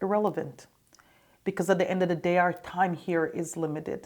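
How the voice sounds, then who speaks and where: A woman's fairly low voice in a monotone, flat intonation, on a very clean recording with a silent background. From Jamaica, raised in Canada. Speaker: former state politician. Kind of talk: interview.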